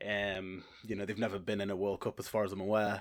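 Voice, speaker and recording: On a very clean recording with a silent background, a man talks at a fairly quick pace. He has a Staffordshire accent and a fairly low pitch. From Stoke-on-Trent, England. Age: 20s. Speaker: podcast host. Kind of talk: casual interview.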